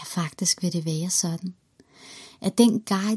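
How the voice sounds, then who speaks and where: The tone is warm and calm, with a fairly slow pace. The recording is very clean, its background silent. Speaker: guided meditation leader. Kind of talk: guided meditation. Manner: slow, calm, soothing, gentle pacing with long pauses; warm, reassuring, encouraging.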